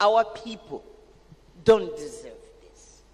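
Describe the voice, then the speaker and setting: Noticeable background noise sits under a woman speaking. She goes at a very slow pace with lively intonation. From Africa. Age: 70s. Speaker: education advocate. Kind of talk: panel discussion.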